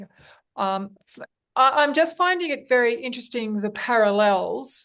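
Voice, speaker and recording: With an Australian accent, a woman speaks at a moderate pace. Her high pitch carries lively intonation. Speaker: podcast host. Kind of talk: interview. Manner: hesitant.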